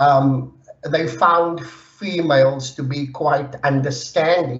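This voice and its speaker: Intonation stays fairly even in a voice that is somewhat breathy. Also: man. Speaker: psychology researcher. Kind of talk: lecture. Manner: halting, many fillers.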